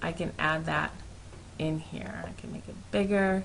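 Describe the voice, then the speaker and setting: The woman's voice has a bright, sharp tone, and the room echo is audible. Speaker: network marketer. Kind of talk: tutorial. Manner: fast; animated.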